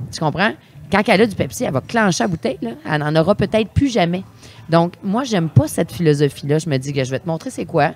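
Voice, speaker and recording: A fairly quick, animated woman's voice, fairly low in pitch with very wide pitch swings, in a Quebec accent, with music in the background. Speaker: sommelier. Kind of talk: casual chat.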